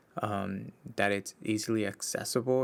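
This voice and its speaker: On a very clean recording with a silent background, a man with a Spanish accent talks at a fairly low pitch with ordinary pitch variation. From Mexico, Baja California. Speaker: podcast host, social worker. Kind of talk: solo podcast monologue. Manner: casual, with frequent fillers and restarts.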